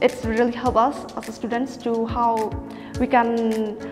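With clear music in the background, a woman speaks at a fairly high pitch. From Meghalaya, India. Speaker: college student. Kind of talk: interview answer. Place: classroom.

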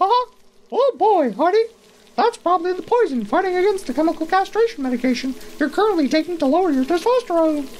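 A put-on character voice pitched extremely high races along at a very fast pace. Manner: giggly, chipper.

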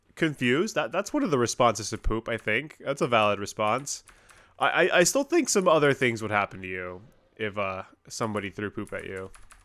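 A man's bright, sharp voice at a fairly quick pace. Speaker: game streamer. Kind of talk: casual gameplay commentary. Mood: amused, relaxed.

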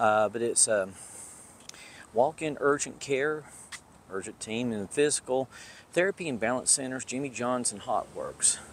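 At a moderate pace, a man talks with long, frequent pauses, the sound dry with no echo and light background noise behind him. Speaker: urban explorer vlogger. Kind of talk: casual vlog chat. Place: street. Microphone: phone near.

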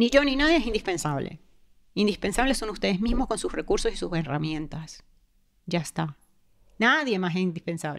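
Very wide pitch swings at a moderate pace, broken by long, frequent pauses. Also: woman, medium pitch for a woman. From Venezuela. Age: 40s. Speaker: guest sharing near-death experience; guest. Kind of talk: personal testimony; interview answer. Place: studio. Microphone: studio mic.

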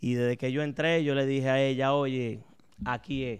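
Moderate pace from a man with ordinary pitch variation, over a quiet background. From Dominican Republic (Santo Domingo), later Boston. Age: 30s. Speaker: nightclub owner; interview guest. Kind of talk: interview. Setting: at the guest's home. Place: studio. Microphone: studio mic.

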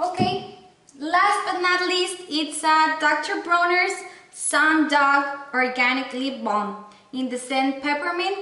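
A woman's raised, projected voice at an extremely high pitch, very slow pace, with audible room echo. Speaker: beauty and lifestyle vlogger; beauty vlogger. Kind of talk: product haul video with giveaway. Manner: animated, enthusiastic. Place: home room.

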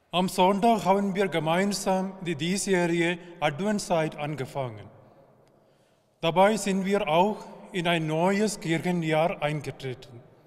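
With an Indian accent, the speaker goes very slowly with ordinary pitch variation against a quiet background. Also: man, high pitch for a man. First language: an Indian language (speaking German). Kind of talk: short spiritual address. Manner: halting in places. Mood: calm, hopeful. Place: church.

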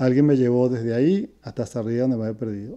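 Over a quiet background, a man with a Venezuelan accent speaks in a dark, mellow tone with ordinary pitch variation. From Venezuela (Caracas). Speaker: retired educator, host's father; interview guest, teacher. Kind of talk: casual interview. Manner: halting, repeats words. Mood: calm, reflective. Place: home room. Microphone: earbuds.

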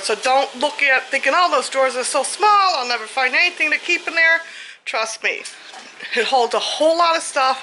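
A woman speaks in a raised, projected voice at a moderate pace over light background noise. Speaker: home vlogger. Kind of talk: casual vlog chat. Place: home room. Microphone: phone near.

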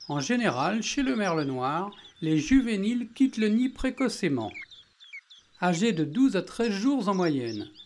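In a calm tone, the speaker goes at a very slow pace, with long, frequent pauses. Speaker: nature video narrator. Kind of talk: nature documentary narration. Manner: calm, measured, explanatory.

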